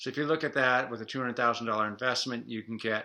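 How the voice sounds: In a room with audible echo, a man talks with a bright, sharp tone, fairly low pitch and fairly even intonation.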